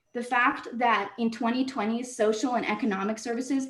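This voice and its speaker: Fairly high-pitched, somewhat breathy speech from a woman, delivered at a moderate tempo. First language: not English. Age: 20s. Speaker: public commenter, social work student. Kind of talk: public comment at city council meeting. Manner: halting, self-correcting.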